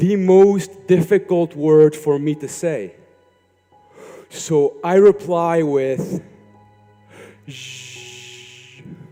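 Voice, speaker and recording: With music in the background, a man speaks very slowly in a high pitch with ordinary pitch variation and long, frequent pauses. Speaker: motivational speaker. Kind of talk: motivational talk.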